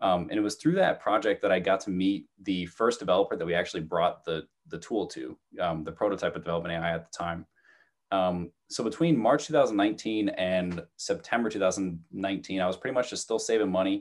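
A man with an American accent talks in a plain, everyday voice at a fairly low pitch. His pace is fairly quick and his intonation lively over a quiet background. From New Jersey. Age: 20s. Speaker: real estate entrepreneur. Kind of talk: casual interview.

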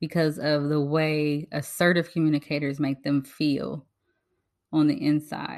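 This woman's voice sits very deep and low, moving at a fairly slow pace in a flat, monotone delivery. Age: 40s. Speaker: life coach and podcast host. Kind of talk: solo monologue.

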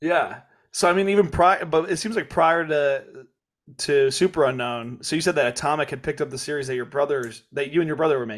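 A man with an American accent and a normal speaking voice talks at a fairly quick pace in a fairly high pitch with ordinary pitch variation. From Kansas. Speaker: podcast host. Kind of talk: reading listener questions; casual interview chat.

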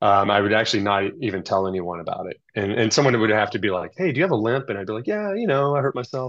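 Someone with an American accent talks at a very fast pace against a quiet background. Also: man. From Texas suburbs. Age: 40s. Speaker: ultra cyclist. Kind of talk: casual chat. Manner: casual, filler-heavy.

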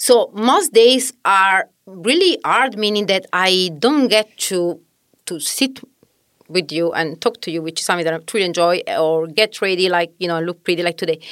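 A woman with an Italian accent and a medium pitch talks at a moderate pace with lively intonation, in a dry, close sound with no echo. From southern Italy. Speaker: mom content creator. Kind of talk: interview.

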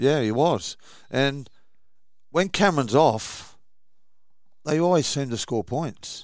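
A man with an Australian accent at a very slow pace, fairly high in pitch with ordinary pitch variation, long, frequent pauses, and a very clean recording over a silent background. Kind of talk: casual chat.

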